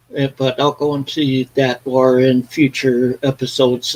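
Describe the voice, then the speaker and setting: A man at medium pitch and a fairly slow pace, in a dry, close sound with no echo. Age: 60s. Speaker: vinyl collector, live stream host. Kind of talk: casual live stream chat. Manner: halting, many fillers.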